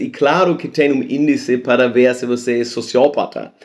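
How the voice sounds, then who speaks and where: A man with a non-native accent speaks at a fairly slow pace, his medium pitch showing ordinary variation. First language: not Portuguese (speaking Portuguese). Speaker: science video host. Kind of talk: casual explainer monologue. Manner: halting.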